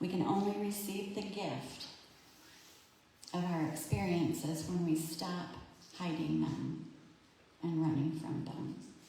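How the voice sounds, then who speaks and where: A woman with an American accent, fairly low pitch and fairly even intonation at a fairly slow pace with long, frequent pauses, amid noticeable background noise and audible room echo. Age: 60s. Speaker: minister. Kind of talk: sermon. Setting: church service, livestreamed.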